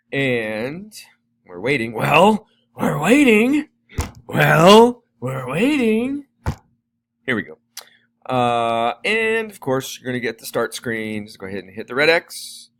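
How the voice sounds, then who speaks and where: At a fairly slow pace and fairly high pitch, a man speaks with very wide pitch swings, big swings in loudness and long, frequent pauses, the sound dry and close with no echo. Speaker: teacher. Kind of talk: tutorial.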